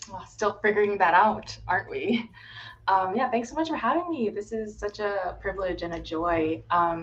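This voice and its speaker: A woman with an American accent speaks in a normal speaking voice at a medium pitch. Her intonation is lively and her pace moderate. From US, Florida. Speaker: healthcare consultant. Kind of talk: casual interview on livestream.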